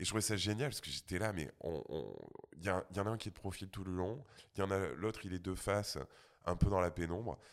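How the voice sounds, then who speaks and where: In a very clean recording with a silent background, a man with a very deep, low pitch speaks at a very fast pace with ordinary pitch variation. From rural France. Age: 40s. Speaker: sound engineer. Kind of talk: casual chat.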